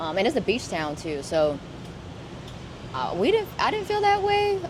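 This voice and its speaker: A woman speaks over noticeable background noise, and audible room echo surrounds her voice. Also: moderate pace. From US, Vietnamese-American family. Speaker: traveler, half of an interracial couple. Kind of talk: casual chat. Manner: halting, many fillers and restarts.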